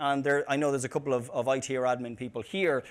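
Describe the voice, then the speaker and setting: Recorded very cleanly against a silent background, a man with an Irish accent talks at a very fast pace. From Ireland, Dublin. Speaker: tech company CEO, conference speaker. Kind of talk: conference talk. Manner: hesitant, many fillers and repeated words.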